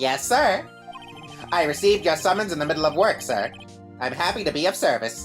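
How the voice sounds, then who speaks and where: A put-on character voice sounds nasal at a middle pitch and a fairly quick pace. Clear music plays in the background. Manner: polite, deferential.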